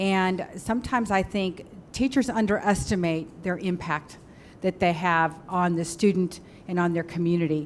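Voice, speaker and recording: A woman speaks in a normal speaking voice at a moderate pace. Her pitch varies in an ordinary way. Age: 60s. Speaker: school board member. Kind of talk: public meeting remarks. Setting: board meeting.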